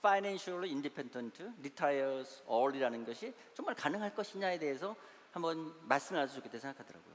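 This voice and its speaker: A man with a fairly high voice at a fairly quick pace. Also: lively intonation. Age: 60s. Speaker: church elder and investment adviser, guest lecturer. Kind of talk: lecture. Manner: halting, many fillers.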